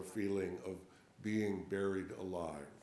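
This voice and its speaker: This man talks at a very slow pace, and audible room echo surrounds his voice. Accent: American. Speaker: sermon speaker at a church. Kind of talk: sermon.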